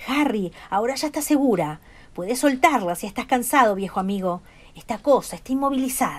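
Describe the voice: Using a put-on character voice, a woman speaks at a fairly quick pace in a high, shaky, hoarse voice with lively intonation.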